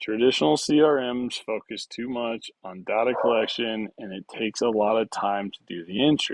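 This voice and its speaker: With an unremarkable speaking voice, a man talks at medium pitch and a moderate pace with hardly any pauses, ordinary pitch variation and big swings in loudness, in a dry, close sound with no echo against a quiet background. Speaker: tech entrepreneur livestreamer. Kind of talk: live tutorial. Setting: live video stream.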